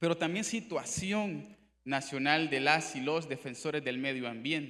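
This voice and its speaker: A man with a Nicaraguan accent, fairly high pitch, bright, sharp tone and fairly slow pace. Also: ordinary pitch variation. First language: Miskito (speaking Spanish). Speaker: human rights official. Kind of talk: conference presentation. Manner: formal.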